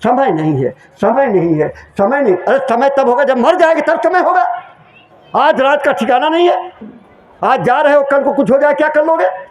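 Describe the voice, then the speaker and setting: At an extremely high pitch, a man speaks with lively intonation, very even loudness and a moderate pace, amid audible room echo and noticeable background noise. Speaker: spiritual preacher. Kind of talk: sermon.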